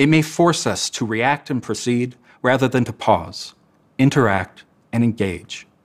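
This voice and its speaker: Talking at a moderate pace, a man is heard. Nothing much stirs behind him, leaving a quiet background. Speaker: educator. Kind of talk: talk presentation. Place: studio. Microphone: lapel.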